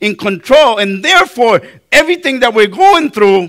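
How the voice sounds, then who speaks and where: In a raised, projected voice with a non-native accent, a man speaks in a high pitch with a bright, sharp tone and lively intonation. The recording is very clean, with a silent background. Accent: foreign accent, noticeable. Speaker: pastor. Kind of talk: sermon.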